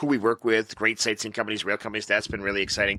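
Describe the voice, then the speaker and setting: Speaking with a Massachusetts accent, a man has a fairly low pitch, a bright, sharp tone and ordinary pitch variation, recorded dry and close with no echo. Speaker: travel company executive. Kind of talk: interview. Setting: conference venue.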